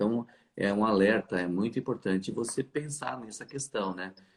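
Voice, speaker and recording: The man speaking has a very deep, low pitch. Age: 60s. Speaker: fertility doctor. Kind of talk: live stream conversation. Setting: live stream.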